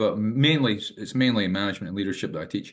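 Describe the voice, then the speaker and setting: With a Scottish accent, a man speaks at a fairly low pitch with ordinary pitch variation. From Scotland. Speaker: management teacher and ex-hotel manager. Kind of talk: podcast interview. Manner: halting, many fillers and repetitions.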